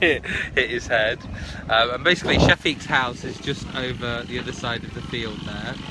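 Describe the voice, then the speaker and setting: Loud background noise accompanies a man talking at a moderate pace with ordinary pitch variation. The sound is dry with no echo. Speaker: live streamer. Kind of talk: casual vlog chat. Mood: relaxed, cheerful. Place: waterside. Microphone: phone near.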